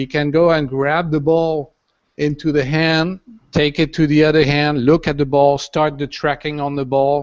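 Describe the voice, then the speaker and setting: Against a quiet background, a man with a French accent speaks at a moderate pace in a flat monotone, his pitch fairly high. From France. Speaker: designer and sculptor building a robot. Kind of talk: panel interview. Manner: halting, many fillers.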